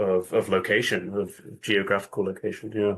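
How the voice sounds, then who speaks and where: This is a man speaking. He has a British accent. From UK. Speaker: spiritual teacher, podcast guest. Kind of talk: interview conversation. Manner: halting, many fillers.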